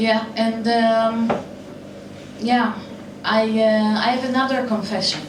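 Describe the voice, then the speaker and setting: Speaking very slowly with long, frequent pauses, a woman with a fairly high voice keeps a monotone, flat delivery over noticeable background noise and audible room echo. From Israel. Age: 40s. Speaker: comedian. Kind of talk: stand-up. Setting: stage with audience.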